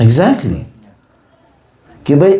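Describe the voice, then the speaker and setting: A man's pitch swings very widely. Room echo is audible, along with noticeable background noise. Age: 50s. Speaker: Islamic cleric. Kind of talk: religious lecture.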